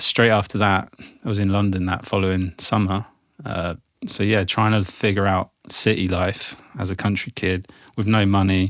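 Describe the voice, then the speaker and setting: In a southern English accent, a man speaks at a moderate pace in a fairly low, monotone voice with flat intonation, on a very clean recording with a silent background. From England, Isle of Wight. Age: 40s. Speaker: arts event founder. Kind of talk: casual interview chat. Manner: casual, loose, with fillers.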